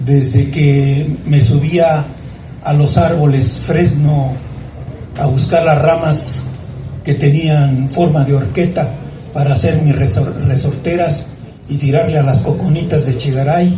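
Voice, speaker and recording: Words arrive very slowly amid noticeable background noise and audible room echo. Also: man, fairly high pitch for a man. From Mexico, Naucalpan (State of Mexico, Mexico City area). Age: 70s. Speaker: local chronicler. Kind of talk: historical talk to an audience. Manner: conversational, with false starts.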